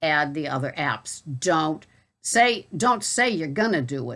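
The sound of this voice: At a fairly slow pace, a woman with a Boston accent speaks in a low, fairly bright voice with big pitch swings. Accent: Boston, non-rhotic.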